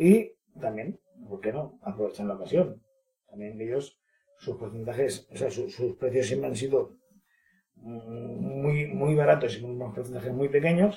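Lively in intonation, a man talks at a fairly slow pace in a medium pitch. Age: 40s. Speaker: business manager. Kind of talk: interview. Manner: halting.

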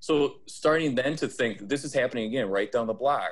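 With an Upper Midwest accent, a man talks at a fairly quick pace and ordinary pitch variation. The recording is very clean, with a silent background. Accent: Upper Midwest American. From Wisconsin, Fond du Lac. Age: 30s. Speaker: sales professional and diversity trainer. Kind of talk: interview conversation.

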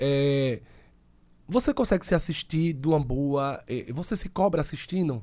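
A man's fairly high voice at a fairly slow pace, broken by long, frequent pauses, in a very clean recording over a silent background. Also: lively intonation. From Sergipe, Brazil. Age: 30s. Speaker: podcast host. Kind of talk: casual chat.

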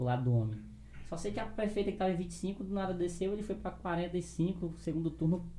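Audible room echo carries a man's dark, mellow tone at a fairly high pitch. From Acre, Brazil. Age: 20s. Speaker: rapper and YouTuber. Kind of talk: casual chat. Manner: animated.

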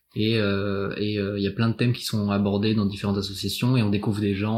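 The man's fairly low voice stays monotone and flat in intonation as he speaks at a moderate pace. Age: 20s. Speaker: student volunteer listener. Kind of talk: casual interview. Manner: halting.

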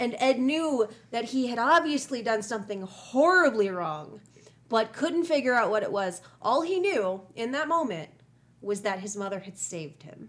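A woman with an American accent speaks at a moderate pace and a fairly high pitch, with very wide pitch swings and big swings in loudness. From US Midwest. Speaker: true crime podcast host. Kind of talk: casual chat with storytelling narration.

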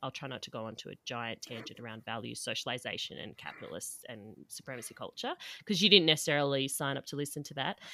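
At a fairly quick pace and in an Australian accent, the speaker has a bright, sharp tone and ordinary pitch variation on a very clean recording with a silent background. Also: woman. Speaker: podcast host, dietitian. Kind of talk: casual chat, podcast crossover conversation.

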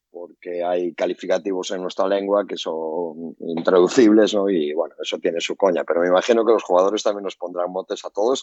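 In a Galician accent, the speaker goes at a fairly quick pace with hardly any pauses and fairly even intonation. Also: man, very deep, low pitch for a man. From Galicia, Spain. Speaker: basketball coach. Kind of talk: casual chat.

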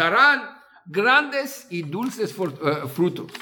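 Over noticeable background noise, a man speaks very slowly in a raised, projected voice at a high pitch, with very wide pitch swings. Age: 50s. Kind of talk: talk telling stories. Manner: halting.

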